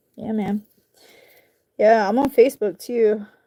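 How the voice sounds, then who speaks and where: A woman speaks with a strong Southern US accent in a fairly high, dark, mellow voice. Her pace is fairly slow and her pitch varies in an ordinary way. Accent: southern country accent, coming back strongly. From US South, North Carolina (Charlotte). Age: 40s. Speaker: YouTuber, craft maker. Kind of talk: casual chat with live chat while crafting. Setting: home livestream, camera on tripod. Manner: youthful casual slang.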